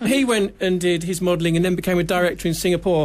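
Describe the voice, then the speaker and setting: With a British accent, a man talks in a high voice over noticeable background noise. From UK. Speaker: TV producer. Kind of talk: radio interview.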